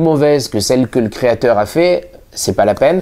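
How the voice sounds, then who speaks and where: Talking at a fairly quick pace, a man has a fairly high pitch. His tone is dark and mellow. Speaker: magician and magic shop owner. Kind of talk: channel introduction to camera. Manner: hesitant, many fillers.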